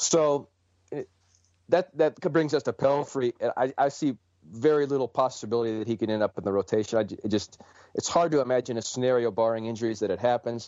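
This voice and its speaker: A man with a Midwestern US accent at a very fast pace, with ordinary pitch variation. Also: medium pitch for a man. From Ohio, Cleveland. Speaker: sports journalist. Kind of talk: interview. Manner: halting, many repeated words.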